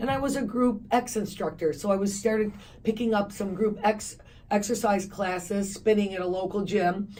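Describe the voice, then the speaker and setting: A woman speaks at a fairly quick pace in a medium-pitched voice. Her intonation is fairly even, and room echo can be heard. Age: 60s. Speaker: fitness company founder. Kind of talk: radio interview.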